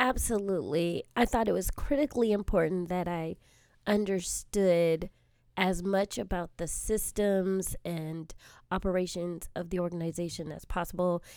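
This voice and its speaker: At medium pitch and a moderate pace, a woman with a Californian accent talks with ordinary pitch variation. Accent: Californian American. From Southern California, South Bay area. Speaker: assistant principal. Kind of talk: interview.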